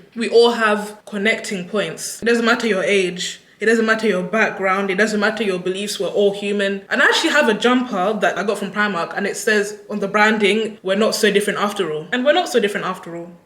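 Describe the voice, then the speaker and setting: A woman at medium pitch, fairly quick pace, hardly any pauses, audible room echo and noticeable background noise. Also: fairly even intonation. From England (Ugandan heritage). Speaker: YouTuber. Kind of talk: casual vlog Q&A. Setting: speaking to camera. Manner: unscripted, rambling.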